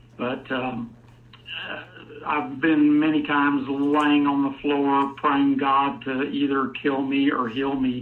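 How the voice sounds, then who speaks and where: Over audible room echo, a man with a fairly high pitch speaks in monotone, flat intonation. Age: 60s. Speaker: caller. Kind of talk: testimony.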